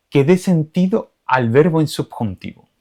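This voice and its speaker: In an Andalusian accent, a voice with a dark, mellow tone and lively intonation speaks at a fairly slow pace, with a dry, close sound and no echo. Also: man. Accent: Andalusian, drops final s. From Andalusia, Spain. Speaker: Spanish teacher. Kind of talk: tutorial.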